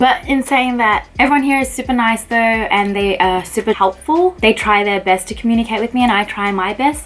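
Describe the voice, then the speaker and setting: A woman with an Australian accent talks at a fairly quick pace with hardly any pauses, her fairly high pitch varying in an ordinary way over noticeable background noise. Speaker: pharmacist. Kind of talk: casual talk to camera.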